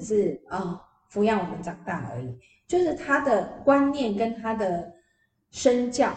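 A woman in a normal speaking voice, with a medium pitch and lively intonation. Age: 50s. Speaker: PR agency founder and author. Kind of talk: interview.

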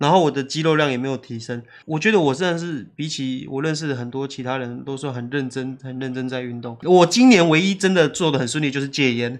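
Here a man talks in an ordinary speaking voice, fairly high and with ordinary pitch variation. He moves at a fairly quick pace with hardly any pauses. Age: 30s. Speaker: YouTuber and illustrator. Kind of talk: casual chat.

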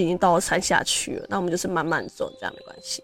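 This woman talks at a very fast pace. Her words rush out quickly. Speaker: podcast host. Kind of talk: personal storytelling monologue. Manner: casual, many fillers.

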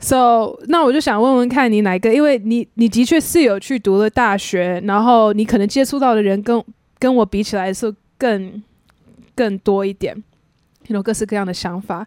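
A woman with an ordinary speaking voice talks at a moderate pace, her fairly high pitch showing ordinary variation, in a dry, close sound with no echo. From USA (Taiwanese-American). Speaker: podcast host. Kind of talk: casual chat. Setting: host's home.

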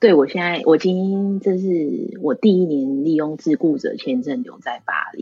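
A woman's fairly low voice, lively in intonation, fairly slow with hardly any pauses, over music in the background. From Taiwan. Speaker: florist. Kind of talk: interview.

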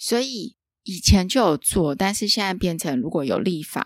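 On a very clean recording with a silent background, a woman speaks at a medium pitch and a fairly slow pace, her pitch swinging very widely. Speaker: podcast host. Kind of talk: casual interview chat. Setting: empty office.

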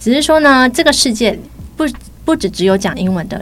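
Fairly quick, lively speech from a woman with a Taiwanese accent over noticeable background noise. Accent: Taiwanese Mandarin. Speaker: English teacher, language school department head. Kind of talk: casual chat interview.

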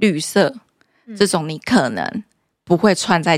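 A woman at medium pitch speaks with vocal fry and lively intonation, the sound dry and close with no echo on a very clean recording with a silent background. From Taiwan, Kaohsiung. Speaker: high-heel brand founder. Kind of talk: casual interview.

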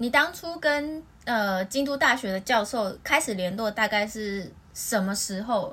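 With lively intonation, an ordinary speaking voice proceeds at a fairly slow pace. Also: woman, fairly high pitch for a woman. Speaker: podcast host. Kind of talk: casual chat.

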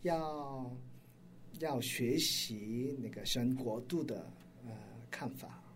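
Somewhat breathy and at medium pitch, a man speaks at a very slow pace with long, frequent pauses in a room with audible echo. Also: ordinary pitch variation. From South Korea. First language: Korean (speaking Chinese). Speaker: pastor and missionary. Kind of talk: interview. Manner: halting.

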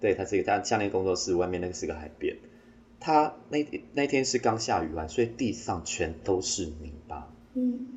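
Fairly low in pitch and somewhat breathy, a man speaks at a moderate pace. His pitch swings very widely. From Taiwan, Taitung (Amis). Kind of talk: interview.

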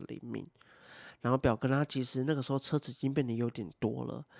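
The speaker has a Taiwanese accent. The pace is fairly quick. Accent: Taiwanese Mandarin. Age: 30s. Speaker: podcast host. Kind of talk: casual solo talk.

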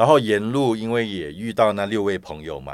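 In a very clean recording with a silent background, a man with an unremarkable speaking voice talks at a fairly quick pace and fairly low pitch. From Malaysia. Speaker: pilgrimage support group organizer. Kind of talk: casual interview chat.

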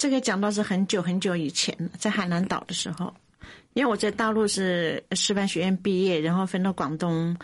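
A woman speaks at a moderate pace against a quiet background, with an ordinary speaking voice. Her pitch is medium and its variation ordinary. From China, Daye in Hubei. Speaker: bun shop owner and poet. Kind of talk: radio interview.

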